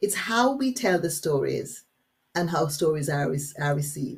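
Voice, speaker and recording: A woman's voice moves through very wide pitch swings. Vocal fry runs through it. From Jamaica. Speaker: workshop facilitator. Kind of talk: webinar workshop. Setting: online webinar. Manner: animated.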